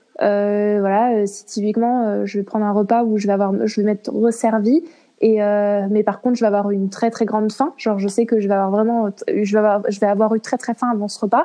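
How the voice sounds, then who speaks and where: A woman at a fairly high pitch, with fairly even intonation and a moderate pace. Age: 20s. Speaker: interview guest sharing eating disorder experience. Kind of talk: casual interview. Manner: halting.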